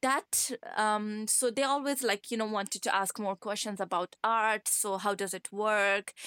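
With a Pashto accent, a woman talks at a fairly slow pace and fairly high pitch with hardly any pauses, a bright, sharp tone and fairly even intonation, in a dry, close sound with no echo. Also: very clean recording, silent background. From Afghanistan, Kandahar. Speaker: artist. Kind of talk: interview.

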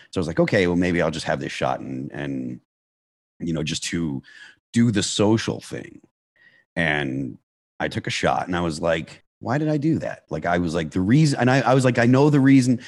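The speaker has an American accent, vocal fry and very wide pitch swings. The pace is fairly quick against a quiet background. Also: man. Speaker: hard rock band vocalist. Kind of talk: interview about recovery.

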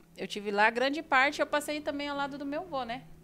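A woman's bright, sharp tone stands out in a very clean recording with a silent background. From Brazil, São Paulo state. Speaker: beautician and entrepreneur. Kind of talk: interview. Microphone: too far from mic, may sound quiet.

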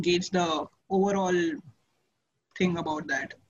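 A woman speaks at a moderate pace in an ordinary speaking voice. Her pitch is medium and her intonation fairly even. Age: 30s. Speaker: author. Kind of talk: interview.

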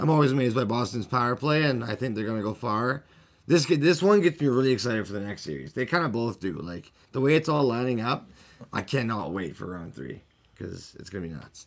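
A man with medium pitch talks at a fairly quick pace. His pitch swings very widely. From Canada. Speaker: hockey podcast host. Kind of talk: casual sports banter. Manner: animated, excitable.

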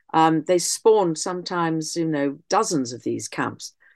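With an English accent, a woman speaks fairly slowly in a very deep, low voice with ordinary pitch variation, the sound dry and close with no echo against a quiet background. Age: 70s. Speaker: historian and author. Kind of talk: interview. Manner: halting.

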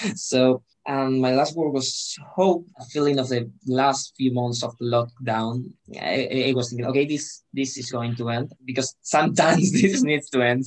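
A man with a Spanish accent and ordinary pitch variation. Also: medium pitch for a man, moderate pace. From Spain. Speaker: student representative. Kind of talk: interview. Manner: halting, repeats words.

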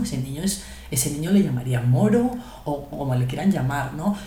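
With a Spanish accent, a woman talks at a moderate pace in very wide pitch swings, and audible room echo surrounds her. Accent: Spanish, fully. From Spain, Guadalajara. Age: young. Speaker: podcast co-host. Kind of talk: casual chat.

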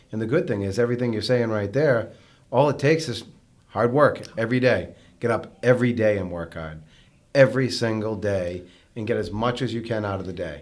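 This man's voice sits at a medium pitch, an ordinary speaking voice. His pace is fairly quick, and his pitch varies in an ordinary way. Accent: American. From Massachusetts (North Andover). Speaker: mortgage company owner and podcast host. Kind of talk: casual chat.

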